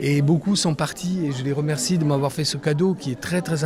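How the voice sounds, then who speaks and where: With noticeable background noise behind him, a man speaks at a moderate pace, his fairly high pitch showing ordinary variation. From Corsica, Bastia. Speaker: photographer. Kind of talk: interview. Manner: halting.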